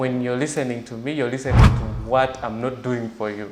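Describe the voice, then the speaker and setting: Noticeable background noise and audible room echo surround this recording. A man speaks at a moderate pace. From Uganda (Jinja, eastern Uganda). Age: 20s. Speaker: journalist and blogger. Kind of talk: interview.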